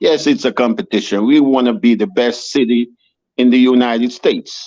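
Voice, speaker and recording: A man with a Jamaican accent speaks at a medium pitch and a moderate pace, his tone dark and mellow and his loudness very even. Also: ordinary pitch variation. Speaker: city council candidate. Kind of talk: interview. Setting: video podcast. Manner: animated.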